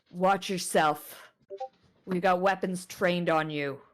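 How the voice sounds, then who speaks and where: Using a gruff, put-on character voice, a woman speaks at a medium pitch and a fairly slow pace. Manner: warning, threatening.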